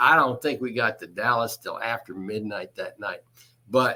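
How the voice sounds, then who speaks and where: With a Texan accent, a man talks using lively intonation. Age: 70s. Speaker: construction executive and electrician. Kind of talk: interview answer.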